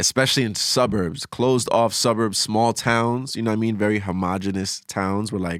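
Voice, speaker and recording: Speaking in a plain, everyday voice with an American accent at a moderate pace, the speaker comes through on a very clean recording with a silent background. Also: man. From New York. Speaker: musician. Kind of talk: casual chat.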